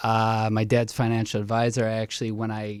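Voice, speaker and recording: A man with an American accent speaks at a medium pitch in a very clean recording with a silent background. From Chicago suburbs, US Midwest. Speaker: dating show contestant. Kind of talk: casual chat. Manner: fast.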